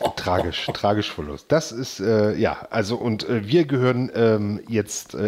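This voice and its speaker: A man speaks in a fairly low voice. He keeps a moderate pace. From eastern Germany, Magdeburg area. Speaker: podcast host. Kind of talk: casual chat. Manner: halting, many repetitions.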